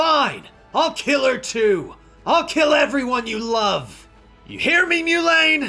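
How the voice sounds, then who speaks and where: A put-on character voice talks at a fairly slow pace. Faint music plays in the background. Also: man. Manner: bellowing, menacing, threatening.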